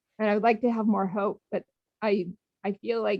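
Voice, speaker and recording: This woman has a plain, everyday voice and keeps a moderate pace. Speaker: public commenter at town hall. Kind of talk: public comment. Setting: phone call into video meeting. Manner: emotional.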